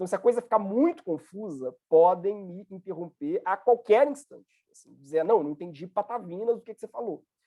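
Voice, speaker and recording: Talking with lively intonation and hardly any pauses, a man uses a high, dark, mellow voice at a moderate pace with big swings in loudness. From Brazil, Minas Gerais. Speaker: university professor. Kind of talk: lecture.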